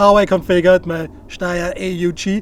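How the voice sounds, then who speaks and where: A man speaks with an Austrian accent. The sound is dry, with no echo. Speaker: firearms YouTuber; firearms reviewer. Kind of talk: gear review tutorial. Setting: outdoor shooting range. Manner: casual, joking. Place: open country. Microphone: lapel.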